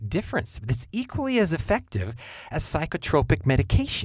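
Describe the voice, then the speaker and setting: In a very clean recording with a silent background, a man speaks with very wide pitch swings and vocal fry. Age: 50s. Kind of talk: monologue podcast with preaching tone.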